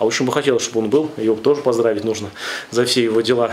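A man speaks with ordinary pitch variation. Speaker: priest. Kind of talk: sermon. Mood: warm congratulatory. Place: church.

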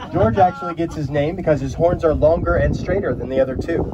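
A man talks at a fairly quick pace amid loud background noise. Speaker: tour guide. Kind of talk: guided tour commentary. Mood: upbeat, jokey. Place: open country.

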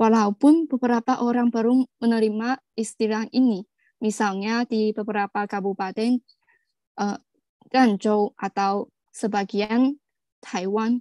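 A woman with a fairly high pitch and a dark, mellow tone speaks at a fairly slow pace with fairly even intonation, in a dry sound with no echo and a quiet background. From China. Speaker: webinar presenter. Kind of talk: prepared presentation. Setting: video call. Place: home room. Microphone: video call.

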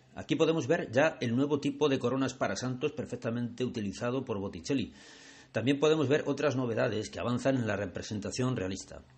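A somewhat breathy man at medium pitch, fairly quick in pace, with ordinary pitch variation. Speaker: art guide and video channel creator. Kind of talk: guided museum tour narration, art-history explanation. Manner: measured, didactic, formal; clear, even-paced, expository.

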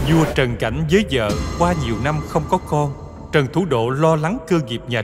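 A man talks at a moderate rate as music plays in the background. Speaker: voice director. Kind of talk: history documentary narration. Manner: heroic, stirring.

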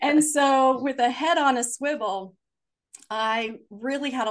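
Over a quiet background, the voice has a warm, animated tone and ordinary pitch variation. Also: woman. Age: 60s. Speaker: author and family therapist. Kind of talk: interview conversation on spirituality and trauma healing. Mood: earnest, reflective. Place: home room. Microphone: video call.

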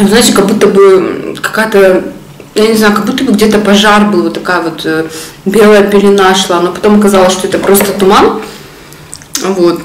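Over audible room echo, a woman talks at a moderate pace with fairly even intonation. She leaves long, frequent pauses. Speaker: mukbang vlogger. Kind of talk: casual vlog chat while eating. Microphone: phone near.

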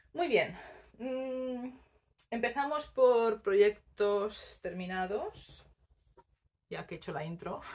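Speaking at a very slow pace, a woman uses lively intonation and takes long, frequent pauses. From Spain, Barcelona; Catalonia, Spain. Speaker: knitting podcaster. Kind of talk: casual monologue to camera; casual vlog chat. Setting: home recording on tripod. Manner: hesitant, many fillers. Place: home room. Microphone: phone near.

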